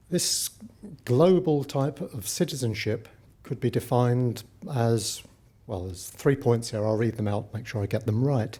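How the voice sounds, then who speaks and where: Somewhat breathy, a man speaks at a moderate pace at a medium pitch with ordinary pitch variation. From Britain, working-class family. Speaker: Buddhist practitioner speaking at interfaith conference. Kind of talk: conference talk.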